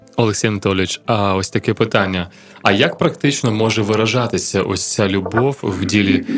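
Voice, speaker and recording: With noticeable background noise, a man talks at a fairly quick pace and a fairly low pitch. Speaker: radio host. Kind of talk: radio Q&A programme. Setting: radio studio.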